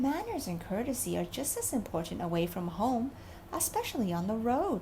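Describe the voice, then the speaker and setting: A woman uses a put-on character voice, gruff and rumbling yet fairly high in pitch. She talks at a moderate pace over clear background noise. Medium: read story. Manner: gruff, grumbling.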